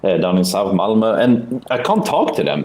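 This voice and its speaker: There's audible room echo and noticeable background noise as a man with a Swedish accent speaks at a fairly low pitch with ordinary pitch variation. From Sweden. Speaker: online game player. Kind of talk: casual debate in game voice chat. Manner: halting.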